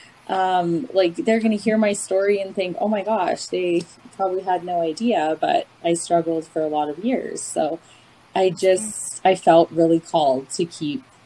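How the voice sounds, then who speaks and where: A woman with a Canadian accent talks at a medium pitch with ordinary pitch variation. Noticeable noise sits in the background. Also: moderate pace. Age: 30s. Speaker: recovering binge eater sharing her story. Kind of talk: personal testimony in casual interview.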